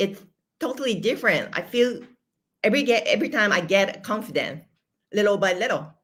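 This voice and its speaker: A woman speaks at a fairly quick pace in a fairly high pitch, her intonation lively, with long, frequent pauses. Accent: Japanese. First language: Japanese. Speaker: manifestation and money coach. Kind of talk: interview conversation. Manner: halting.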